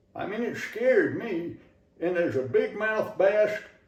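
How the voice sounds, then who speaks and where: A man with an American accent speaks at a moderate pace over noticeable background noise. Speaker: Southern humorist, storyteller. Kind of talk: humorous tall-tale storytelling.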